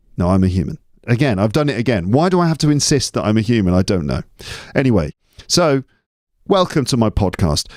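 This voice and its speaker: Speaking at a very fast pace with long, frequent pauses, a man with a British accent and medium pitch keeps a very even loudness while his pitch swings very widely, in a very clean recording with a silent background and a dry, close sound with no echo. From England. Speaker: English teacher and podcaster. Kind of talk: casual podcast monologue. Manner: chatty, digressive.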